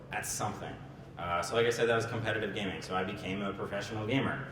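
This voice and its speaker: A man talking at a very fast pace, with noticeable background noise and audible room echo. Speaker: startup founder. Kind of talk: presentation talk. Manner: filler words and repetitions.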